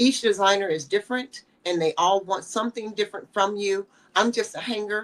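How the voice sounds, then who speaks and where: In a normal speaking voice, a woman of medium pitch speaks at a fairly quick pace with fairly even intonation. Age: 60s. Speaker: fashion model. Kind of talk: interview.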